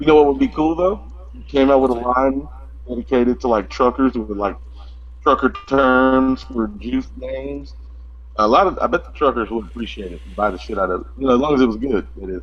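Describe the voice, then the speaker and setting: With music in the background, a man with an American accent talks at a fairly quick pace. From US South, East Texas. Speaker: vape reviewer, vape shop worker. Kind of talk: casual chat.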